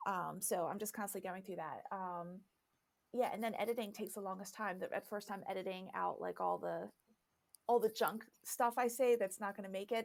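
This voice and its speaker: With vocal fry and fairly even intonation, a woman speaks at a fairly quick pace. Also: medium pitch for a woman. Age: 50s. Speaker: YouTuber and social media consultant. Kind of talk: podcast interview. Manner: fast, filler-heavy conversational.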